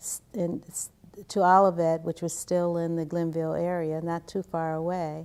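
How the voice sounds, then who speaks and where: A woman with a Midwestern accent, fairly low pitch and a dark, mellow tone, in a very clean recording with a silent background. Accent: US Midwest (Ohio). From Cleveland, Ohio, US. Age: 60s. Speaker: interviewee, community researcher. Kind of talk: oral history interview.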